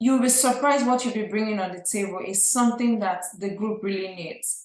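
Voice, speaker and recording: A woman with a Nigerian accent speaks at a fairly high pitch with ordinary pitch variation. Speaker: real estate investor. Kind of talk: podcast interview.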